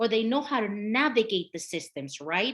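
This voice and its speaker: Over a quiet background, a woman with a Mexican accent talks at a moderate pace in a fairly high pitch with lively intonation. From Mexico, Michoacan. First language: Spanish. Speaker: health equity consultant. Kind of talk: presentation.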